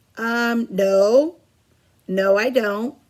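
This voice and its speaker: A woman puts on a character voice with a fairly high pitch. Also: ordinary pitch variation. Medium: read story.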